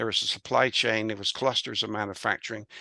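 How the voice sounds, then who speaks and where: Speaking very fast in a West Country accent, the man has a medium pitch, a bright, sharp tone and monotone, flat intonation. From England, Bristol. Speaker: business consultant and author. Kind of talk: interview. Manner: halting, many fillers.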